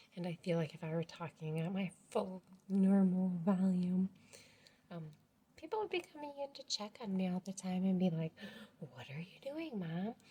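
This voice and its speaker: With a dark, mellow, somewhat breathy tone, a woman talks at a moderate pace using lively intonation. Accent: American. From rural US. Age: 40s. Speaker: family vlogger. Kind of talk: casual vlog talk to camera. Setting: at home. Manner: talking quieter than usual; hesitant, many fillers.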